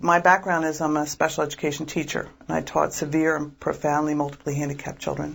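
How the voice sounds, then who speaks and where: Very clean recording with a silent background, in a slight Philadelphia accent. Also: woman. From Philadelphia, US. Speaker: diocesan pro-life director. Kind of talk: interview.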